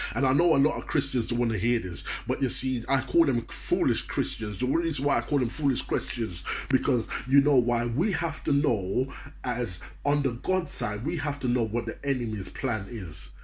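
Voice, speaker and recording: A man at a moderate pace, with audible room echo. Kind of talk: motivational sermon. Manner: animated.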